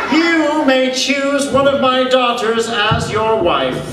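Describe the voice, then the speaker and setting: A man puts on a character voice at an extremely high pitch and a fairly slow pace. Loud background noise and a clear echo surround him. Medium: stage play. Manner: commanding, regal.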